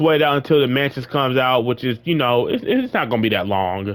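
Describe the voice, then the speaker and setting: An ordinary speaking voice from a man, fairly quick in pace and lively in intonation. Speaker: gaming YouTuber. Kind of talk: casual vlog rant.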